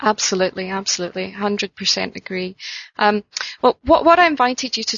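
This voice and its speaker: A woman with a Scottish accent, medium in pitch, at a fairly quick pace. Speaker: interviewer. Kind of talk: interview. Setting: phone call. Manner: hesitant, filler-heavy.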